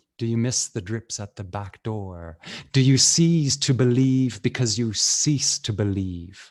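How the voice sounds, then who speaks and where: A man with a South African accent speaks at a fairly slow pace in a dark, mellow tone. His medium pitch varies in an ordinary way against a quiet background. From Canada (Medicine Hat, Alberta). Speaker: poet. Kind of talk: poetry performance; casual storytelling. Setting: video call. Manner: rhythmic.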